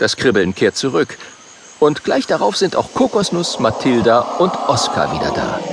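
A man's fairly high pitch with very wide pitch swings and noticeable background noise. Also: fairly slow pace. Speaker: audiobook narrator. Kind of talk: audiobook narration for children, reading aloud with character voices.

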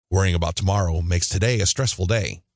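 A man speaks at a fairly quick pace with a very deep, low pitch and ordinary pitch variation. His voice is somewhat breathy, and the background is quiet. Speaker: audiobook narrator. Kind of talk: audiobook narration of guided meditation instructions. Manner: calm, steady instructional pacing; gentle, soothing reassurance.

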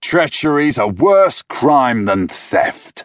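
A man uses a loud, put-on character voice, fairly high in pitch, with very wide pitch swings. He speaks at a very slow pace. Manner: loud, contemptuous.

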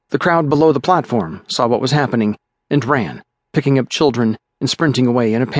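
The clip is plain reading aloud with ordinary pitch variation and a quiet background.

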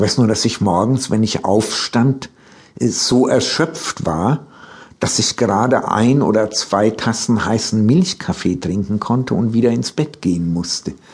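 At a fairly slow pace, a man with a medium pitch uses lively intonation while keeping his loudness very even. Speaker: author telling his life story. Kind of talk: elder telling life, freely improvised spoken memoir. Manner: slow, reflective, meandering; halting, with repetitions and self-corrections.

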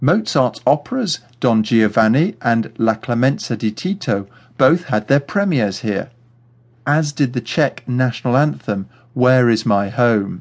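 There's a plain, everyday voice here, as a man speaks at a fairly slow pace with a medium pitch, lively intonation and very even loudness against a quiet background. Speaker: audio tour guide narrator. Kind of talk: scripted audio walking-tour narration, history facts then directions. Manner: clear, measured, explanatory pacing.

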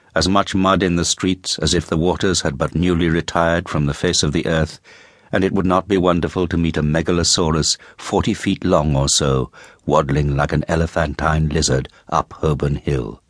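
A man's theatrical, very deep and low voice with vocal fry, fairly even intonation, very even loudness and a moderate pace. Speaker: audiobook narrator. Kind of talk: dramatic audiobook narration of Dickens, atmospheric and richly descriptive. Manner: measured, vivid, theatrical.

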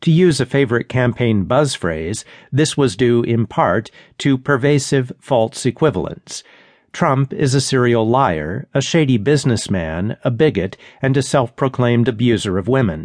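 This man has an unremarkable speaking voice with a medium pitch, lively intonation and very even loudness at a moderate pace. The sound is dry and close with no echo, over a quiet background. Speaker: audiobook narrator. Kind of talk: news reading of a magazine essay. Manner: formal; measured, dry, even-paced.

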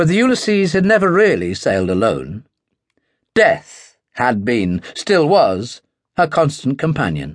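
At a fairly slow pace, a man with a fairly high pitch makes very wide pitch swings while keeping his loudness very even, against a quiet background. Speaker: audiobook narrator. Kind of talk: dramatic audiobook narration of a WWII naval war novel. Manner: builds tension through rhythmic repetition and emphatic punchlines.

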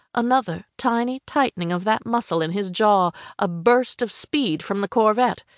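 An unforced reading voice over a quiet background

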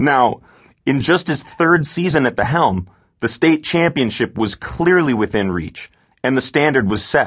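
A man talks at a fairly slow pace with lively intonation and a fairly high pitch. Vocal fry comes through against a quiet background. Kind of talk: audiobook narration. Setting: studio. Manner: measured, steady storyteller pacing.

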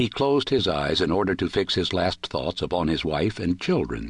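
A man with a very deep, low voice and vocal fry speaks at a moderate pace with very wide pitch swings against a quiet background. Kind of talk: audiobook narration of a short story. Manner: dramatic, measured, formal.

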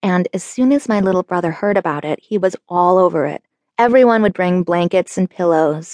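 Over quiet surroundings, a natural reading voice moves through ordinary pitch variation.

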